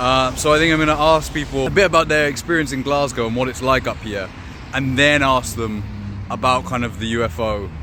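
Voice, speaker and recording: Over noticeable background noise, a man talks at a fairly quick pace with a medium pitch. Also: ordinary pitch variation. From southern England. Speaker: YouTube investigator. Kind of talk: vlog and street interview.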